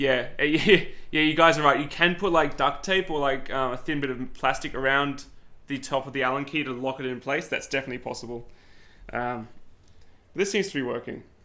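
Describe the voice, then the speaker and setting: A man's fairly high-pitched, bright, sharp voice with an Australian accent, ordinary pitch variation and a fairly quick pace. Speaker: 3D printing YouTuber. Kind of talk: live stream unboxing and setup. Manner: casual, chatty.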